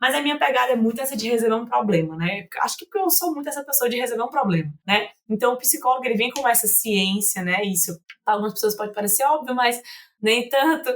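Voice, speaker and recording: In a northeastern Brazilian accent, a woman races along at a very fast pace, her fairly high voice rising and falling with lively intonation. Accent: northeastern Brazilian (Fortaleza). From Fortaleza, northeast Brazil. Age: 20s. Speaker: psychologist. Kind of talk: podcast interview. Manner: informal, conversational.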